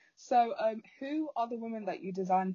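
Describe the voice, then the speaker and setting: Ordinary pitch variation marks this woman's delivery. She has a normal speaking voice. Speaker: podcast host. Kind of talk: casual interview chat.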